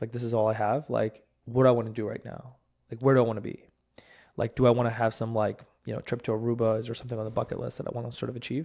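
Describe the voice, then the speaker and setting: Against a quiet background, a dark, mellow voice with an American accent races along at a very fast pace in a flat monotone. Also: man, medium pitch for a man. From New Jersey, Jersey City. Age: 20s. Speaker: mayoral candidate. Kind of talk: interview. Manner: casual, filler-heavy.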